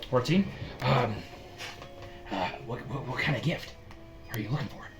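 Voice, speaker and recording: A man's put-on character voice at a medium pitch, with clear background noise. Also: moderate pace. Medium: actual play. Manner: hesitant, stammering.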